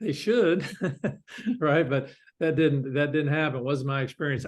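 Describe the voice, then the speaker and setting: A man speaks with a fairly high pitch and a Southern US accent. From US South, North Carolina. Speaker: company founder and CEO, Marine veteran. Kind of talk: interview. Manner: halting, many fillers.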